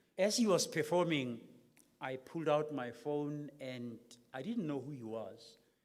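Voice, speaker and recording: In a room with audible echo, a man with a fairly high pitch speaks at a fairly slow pace, his intonation lively and his loudness swinging widely. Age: 60s. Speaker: keynote lecturer. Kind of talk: public lecture.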